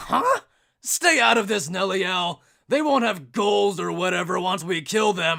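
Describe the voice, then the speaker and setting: In a raised, projected cartoonish character voice, a man speaks raspily at a moderate pace with a high pitch and lively intonation. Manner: brash, rough.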